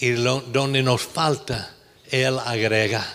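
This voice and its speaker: A man at a very slow pace. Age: 70s. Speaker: pastor. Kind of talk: sermon. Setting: church.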